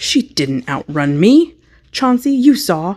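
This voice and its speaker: On a very clean recording with a silent background, a female-sounding put-on character voice speaks at a fairly slow pace and fairly high pitch, with very wide pitch swings. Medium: read story. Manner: defiant, sulky.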